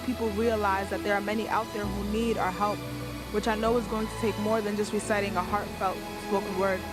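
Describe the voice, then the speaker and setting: Music plays behind the woman's voice. She speaks at a fairly quick pace. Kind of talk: spoken word poetry performance. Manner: earnest, impassioned.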